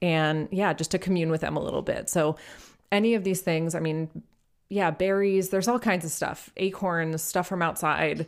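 This woman has a normal speaking voice, fairly low in pitch, with fairly even intonation. She keeps a moderate pace in a very clean recording over a silent background. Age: 30s. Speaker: podcast co-host on magic history. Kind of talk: casual chat.

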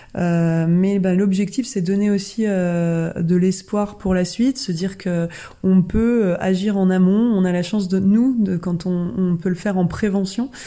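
A woman's voice has a dark, mellow tone at medium pitch. She speaks at a fairly slow pace with fairly even intonation. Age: 40s. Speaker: podcast host sharing health testimony. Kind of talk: personal testimony podcast. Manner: casual, with many hesitations.

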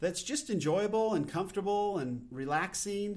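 A man speaks in a normal speaking voice. His intonation is lively, and his pace is moderate. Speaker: podcast host. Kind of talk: solo podcast monologue. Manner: casual, unpolished, self-deprecating.

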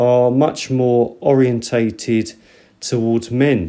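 With a British accent, a man speaks at medium pitch in a dark, mellow tone. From Britain. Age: 50s. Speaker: podcast host. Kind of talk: solo podcast monologue. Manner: halting.

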